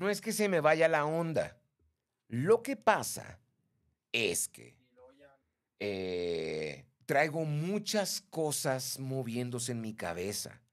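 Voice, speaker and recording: Against a quiet background, a man talks very slowly with long, frequent pauses, very wide pitch swings, and big swings in loudness. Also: fairly high pitch for a man. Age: 50s. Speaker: live stream host. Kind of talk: casual chat. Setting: live stream. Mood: chatty, gossipy anecdote. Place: studio. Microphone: studio mic.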